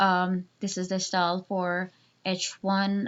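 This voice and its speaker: A woman speaks with a non-native accent. Her pitch sits in the medium range. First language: not English. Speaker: student web developer. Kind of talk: tutorial. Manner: halting, many fillers.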